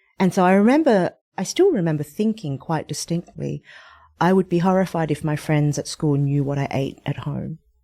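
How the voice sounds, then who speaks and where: The tone is dark and mellow, with an Australian accent and ordinary pitch variation. Delivery comes at a moderate pace, and the sound is dry and close with no echo. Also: woman, fairly low pitch for a woman. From Australia (Sydney). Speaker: cookbook author. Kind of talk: interview. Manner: conversational, hesitant fillers.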